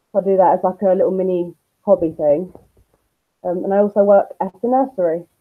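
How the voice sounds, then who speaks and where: A woman with a London accent speaks at a medium pitch with ordinary pitch variation. Her very fast pace breaks up with long, frequent pauses. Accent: London-sounding. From Essex, England (Basildon). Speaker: YouTuber and nursery worker. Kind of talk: interview. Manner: hesitant, many ums. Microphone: muffled audio.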